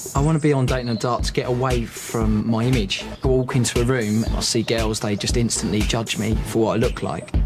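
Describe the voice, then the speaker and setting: Over music in the background, a man with a southeast English accent talks at a fairly quick pace with hardly any pauses and very even loudness. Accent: south-east English. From Kent, south-east England. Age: 20s. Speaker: dating show contestant. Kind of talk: reality TV interview.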